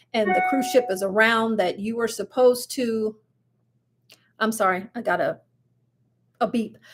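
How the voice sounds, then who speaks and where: Over music in the background, a woman speaks at a moderate pace in a fairly high pitch with ordinary pitch variation. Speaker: cruise vlogger. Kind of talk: live stream news chat. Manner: animated.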